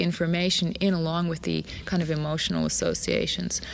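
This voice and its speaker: In an American accent, a woman speaks at a fairly quick pace. Background noise is noticeable. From Arizona, USA. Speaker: dancer and choreographer. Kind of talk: interview answer.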